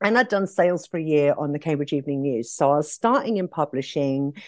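A woman with an English accent and very wide pitch swings, dry and close with no echo over a quiet background. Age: 50s. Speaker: nail industry entrepreneur. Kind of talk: podcast interview.

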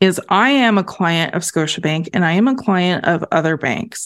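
An ordinary speaking voice with ordinary pitch variation. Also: woman. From Canada. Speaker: podcast host, accountant. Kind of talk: scripted introduction; interview.

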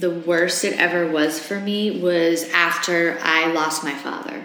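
Amid noticeable background noise and audible room echo, a woman speaks fairly slowly at a fairly low pitch with ordinary pitch variation. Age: 40s. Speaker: host's wife, former co-host. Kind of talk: casual chat, personal testimony.

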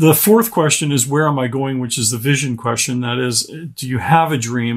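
A man with an American accent and a normal speaking voice talks at a medium pitch and a moderate pace, his intonation fairly even. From Pittsburgh, Pennsylvania. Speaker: author and speaker. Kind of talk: interview.

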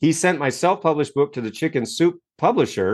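A man with an American accent talks at a fairly quick pace in an ordinary speaking voice with lively intonation, against a quiet background. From US Northeast (Maine). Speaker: self-help author and coach. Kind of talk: interview.

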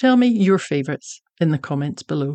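A woman talks at a fairly quick pace with a Scottish accent. Her pitch sits fairly low. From Scotland. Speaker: podcast host and young adult novelist. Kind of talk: casual interview; scripted outro.

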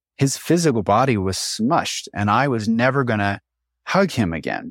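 A man with an unremarkable speaking voice uses lively intonation at a moderate pace, recorded very cleanly against a silent background with a dry, close sound and no echo. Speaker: bodywork practitioner and cleaning business owner. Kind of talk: casual interview about grief.

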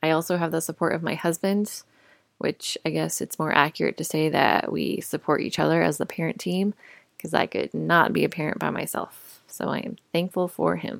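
A woman with an American accent at a moderate pace, dry, close sound with no echo, on a very clean recording with a silent background. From US, Colorado. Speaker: podcast host, mother and nurse. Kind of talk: casual monologue.

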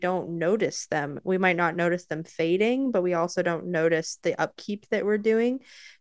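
A woman with a plain, everyday voice speaks at a fairly low pitch with ordinary pitch variation, recorded dry and close with no echo against a quiet background. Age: young. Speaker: podcast co-host, student and mother. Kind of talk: casual chat.

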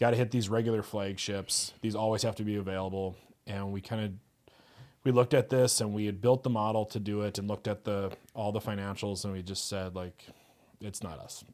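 Fairly low-pitched male speech in an Upper Midwest accent at a fairly quick pace, very clean recording, silent background. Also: fairly even intonation. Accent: Upper Midwest American. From US Upper Midwest (Fargo-Moorhead). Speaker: brewery co-founder. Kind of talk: interview conversation.

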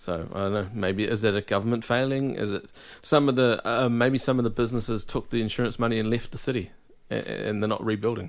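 Speaking at a very fast pace, a man uses a medium pitch and fairly even intonation. He has a New Zealand accent. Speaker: podcast host. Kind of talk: casual interview.

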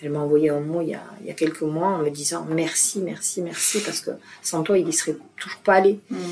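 Noticeable background noise surrounds a woman with a very deep, low pitch. She speaks fairly quickly with fairly even intonation. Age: 60s. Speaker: retired dance teacher, hearing aid ambassador. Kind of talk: interview conversation. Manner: hesitant, with repetitions.

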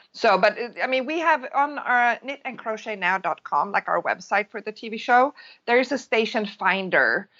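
Speaking at a moderate pace in a Swedish accent, a woman uses a fairly high pitch and ordinary pitch variation. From Sweden. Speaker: crochet and knitting designer. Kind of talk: interview.

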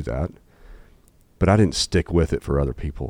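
With a Southern US accent, this man speaks at a fairly quick pace. His pitch is very deep and low, and his tone is dark and mellow. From Arkansas, Jonesboro. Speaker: entrepreneur and business executive. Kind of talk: candid interview conversation.

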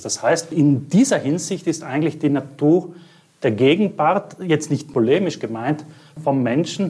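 Using a normal speaking voice, a man speaks at a fairly slow pace with a fairly high pitch and ordinary pitch variation. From South Tyrol, Italy. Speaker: art curator. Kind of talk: interview.

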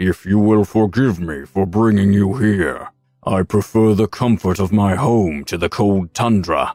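Booming and fairly low, a man's put-on character voice moves at a moderate pace. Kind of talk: formal, courteous.

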